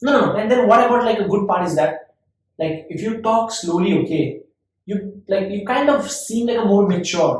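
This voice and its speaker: A man speaks at a high pitch with ordinary pitch variation. There is audible room echo. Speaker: podcast host. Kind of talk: casual chat. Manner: fast.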